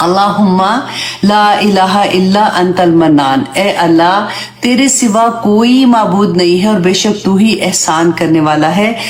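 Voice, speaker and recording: At a very slow pace and with ordinary pitch variation, the voice comes through audible room echo and noticeable background noise. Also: woman. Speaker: Islamic teacher. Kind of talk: religious lecture.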